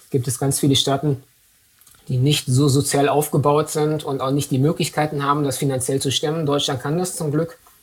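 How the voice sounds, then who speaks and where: A man talks at a moderate pace in a fairly high, somewhat breathy voice. His intonation is monotone and flat. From Dortmund, western Germany. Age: 30s. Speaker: MS patient and advocate. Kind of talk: interview.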